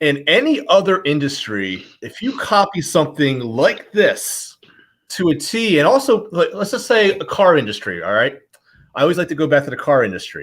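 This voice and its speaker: High-pitched male voice in a Philadelphia accent, very wide pitch swings, moderate pace. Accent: Philadelphia accent, says water as wooder. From Philadelphia, US. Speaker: watch reviewer, show host. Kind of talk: casual interview chat.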